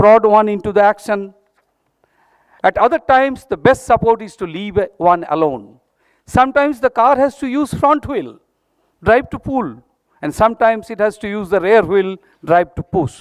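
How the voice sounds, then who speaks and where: Speaking with a Bengali accent, a man at high pitch uses lively intonation and big swings in loudness, at a moderate pace broken by long, frequent pauses, in a dry, close sound with no echo. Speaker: institute director. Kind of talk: formal speech. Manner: formal.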